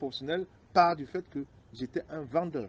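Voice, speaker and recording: This man's fairly high voice shows ordinary pitch variation as he talks at a moderate pace. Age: 40s. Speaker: biomedical engineer. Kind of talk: interview. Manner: halting.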